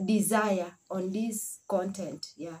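Light background noise surrounds a woman as she speaks. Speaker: vlogger; family vlogger. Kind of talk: casual vlog talk. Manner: halting. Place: home room. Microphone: phone near.

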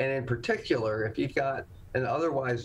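Against light background noise, a man speaks in a somewhat breathy voice. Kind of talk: interview answer. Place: office. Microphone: webcam.

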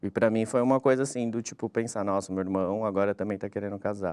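Fairly low-pitched male voice with a dark, mellow tone and fairly even intonation against a quiet background. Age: 30s. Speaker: journalist, brother of a crash victim. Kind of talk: testimony. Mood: reflective, recounting personal loss. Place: studio.

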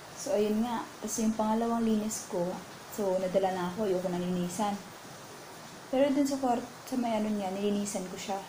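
With noticeable background noise, a woman talks at a fairly quick pace in a fairly high pitch and fairly even intonation. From Philippines. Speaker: caregiver and vlogger; vlogger. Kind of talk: casual vlog talk. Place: home room. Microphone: earbuds.

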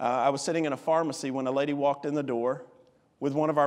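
The pace is very fast. The speaker has an American accent. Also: man. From US South, Alabama. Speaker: visiting missionary and preacher; preacher. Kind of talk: sermon. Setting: church with congregation. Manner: animated, passionate; directly addresses Ruth in dramatic retelling. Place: church. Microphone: podium.

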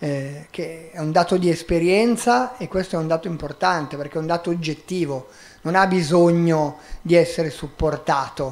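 This man speaks at a high pitch with ordinary pitch variation. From Milan, northern Italy. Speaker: migrant rights activist; guest, volunteer lawyer. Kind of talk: public talk; public talk answer. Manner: halting. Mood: calm, wry. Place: stage. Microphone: handheld.

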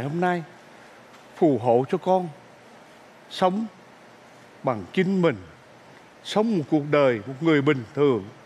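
Leaving long, frequent pauses, a man talks at a fairly slow pace. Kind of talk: staged prayer in a comedy sketch. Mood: earnest, pleading. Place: stage.

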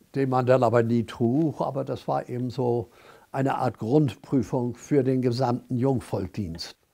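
The background is quiet as a man speaks at a moderate pace. His tone is dark and mellow. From Hamburg. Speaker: contemporary witness. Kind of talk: interview answer. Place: home room. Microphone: lapel.

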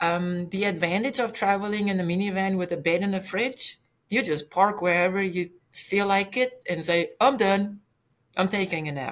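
A woman speaks at a moderate pace. Her pitch is medium, with ordinary variation. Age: 60s. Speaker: retired occupational therapist, brain injury survivor. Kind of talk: casual interview. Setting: video call. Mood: earnest, reflective. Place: home room.

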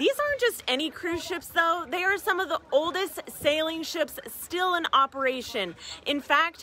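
A woman's raised, projected voice with lively intonation at a moderate pace, dry with no echo, over light background noise. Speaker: travel vlogger. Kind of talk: casual vlog chat. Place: waterside. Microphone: phone near.

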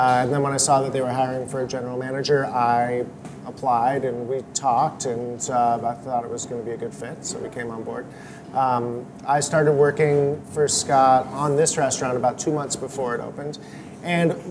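With music in the background, the man keeps up a fairly quick pace. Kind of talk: interview answer. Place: cafe. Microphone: lapel.

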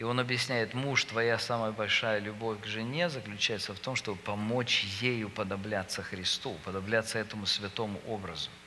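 An ordinary speaking voice: a man with a fairly low pitch talks at a moderate pace, with hardly any pauses and fairly even intonation. Light background noise can be heard. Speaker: visiting preacher leading marriage seminar. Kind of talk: sermon-style lecture on marriage. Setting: church conference with audience. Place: church. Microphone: headset.

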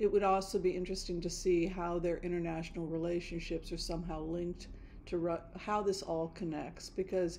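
A woman's fairly low, dark, mellow voice in a flat monotone, with light background noise. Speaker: tarot reader vlogger. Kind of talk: casual vlog chat. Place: home room. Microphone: studio mic.

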